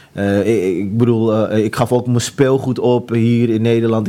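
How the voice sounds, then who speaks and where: The voice has a dark, mellow tone and monotone, flat intonation. It moves at a fairly slow pace. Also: man. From Amsterdam, Netherlands. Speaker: author sharing conversion story. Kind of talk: testimony. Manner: halting, many fillers.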